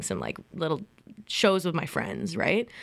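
A woman's fairly low, plain, everyday voice with a Canadian accent, on a very clean recording with a silent background. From Ontario, Canada (Ajax, Greater Toronto Area). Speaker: theatre artistic director. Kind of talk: radio interview. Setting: radio studio.

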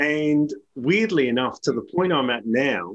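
With an Australian accent, a man speaks at a medium pitch with very wide pitch swings. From South Australia, Adelaide Hills. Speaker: leadership author and educator. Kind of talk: interview conversation.

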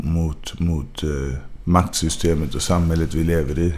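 A man speaks at a fairly slow pace with fairly even intonation. Room echo can be heard. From Sweden, Gothenburg (Majorna). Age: 20s. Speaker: rapper. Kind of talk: interview.

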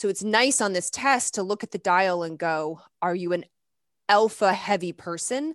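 In an American accent, a woman uses a normal speaking voice at medium pitch with ordinary pitch variation. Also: moderate pace. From US South (Lexington, Kentucky). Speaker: naturopathic doctor, hormone expert. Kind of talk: interview, medical explanation.

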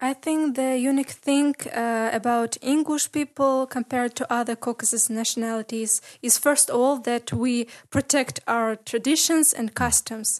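A woman with an Ingushetian accent speaks at a moderate pace in a high voice with fairly even intonation, the sound dry and close with no echo over a quiet background. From Ingushetia, Russia. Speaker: university student. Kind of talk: interview. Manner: halting.

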